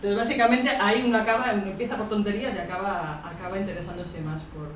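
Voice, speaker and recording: A woman's medium-pitched, animated voice at a very fast pace, with ordinary pitch variation, audible room echo and noticeable background noise. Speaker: researcher on gender and armed conflict. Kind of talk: public talk. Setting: talk with live audience.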